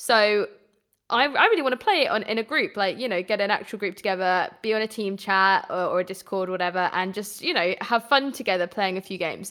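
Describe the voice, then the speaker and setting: A woman with a British accent, medium pitch, bright and sharp tone, fairly quick pace and ordinary pitch variation. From England. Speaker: gaming podcast co-host. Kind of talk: casual chat. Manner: animated.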